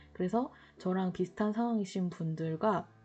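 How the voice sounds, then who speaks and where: Background music plays while a woman talks. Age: 40s. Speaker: diet vlogger. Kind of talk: casual talk to camera. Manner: rambling, hesitant.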